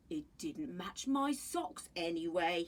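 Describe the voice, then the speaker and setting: A woman puts on a growling character voice at a medium pitch. She moves at a fairly slow pace with very wide pitch swings. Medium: read story. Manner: warm, reassuring.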